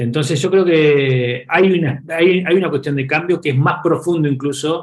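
This man talks at a fairly quick clip with a somewhat breathy sound and ordinary pitch variation. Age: 40s. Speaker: startup executive. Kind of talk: interview. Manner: hesitant with frequent repetitions and fillers.

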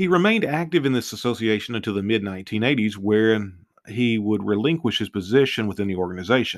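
A man with a fairly low pitch talks at a very fast pace with lively intonation. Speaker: true crime podcaster. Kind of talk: true-crime narration, read-aloud case summary. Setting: studio podcast. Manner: formal and measured, with occasional stumbles and self-corrections.

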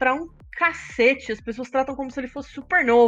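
A woman talks at a fairly quick pace. Her voice is high, with ordinary pitch variation. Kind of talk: casual chat. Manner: stutters.

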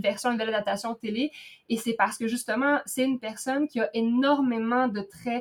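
Speaking at a moderate pace, a woman with a fairly high pitch uses fairly even intonation in an ordinary speaking voice. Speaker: podcast co-host. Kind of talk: casual chat.

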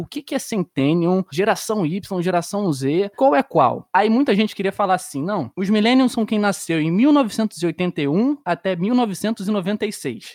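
In a very clean recording with a silent background and a dry, close sound with no echo, a man speaks at a high pitch with lively intonation. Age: 20s. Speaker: podcast host. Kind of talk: casual chat.

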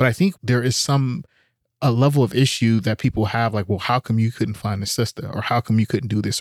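An ordinary speaking voice, a man at medium pitch with an American accent talks at a fairly quick pace with ordinary pitch variation, on a very clean recording with a silent background and a dry, close sound with no echo. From US, Oakland, California. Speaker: podcast host. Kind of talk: casual chat.

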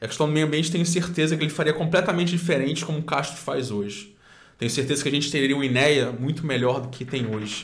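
Talking at a very fast pace, a man with a fairly high pitch shows ordinary pitch variation amid audible room echo. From Cabo Frio, Rio de Janeiro state, Brazil. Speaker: documentary maker and political aide, environmental activist. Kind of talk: casual interview.

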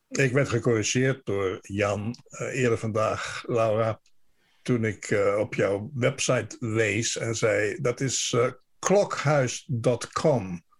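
The voice is somewhat breathy and moves at a very slow pace with ordinary pitch variation, recorded very cleanly against a silent background. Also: man, medium pitch for a man. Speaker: radio correspondent. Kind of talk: radio interview.

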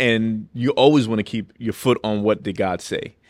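A man with a normal speaking voice and an American accent talks at a moderate pace in a fairly low pitch with ordinary pitch variation, on a very clean recording with a silent background. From New York City. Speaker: pastor. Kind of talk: testimony in casual interview.

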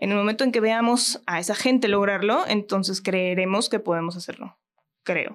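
Speaking with a Mexican accent, a woman keeps a medium pitch, fairly even intonation and a moderate pace. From Mexico. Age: 30s. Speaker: actress and voice actress. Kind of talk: casual chat. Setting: studio.

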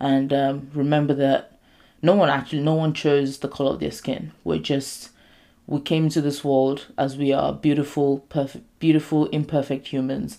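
On a very clean recording with a silent background, a woman with a very deep, low pitch and a dark, mellow tone speaks at a moderate pace with fairly even intonation. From Nigerian heritage. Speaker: podcast host. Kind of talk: casual solo talk.

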